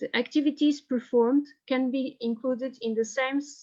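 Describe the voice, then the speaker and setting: Her intonation is fairly even, in a Portuguese accent. This woman speaks at a high pitch. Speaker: historian. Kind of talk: reading aloud. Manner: halting.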